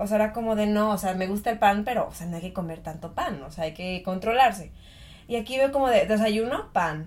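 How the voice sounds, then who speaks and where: A woman with a Mexican accent talks at a fairly quick pace and medium pitch, somewhat breathy, with lively intonation and big swings in loudness. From Mexico. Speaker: podcast co-host. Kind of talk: casual chat.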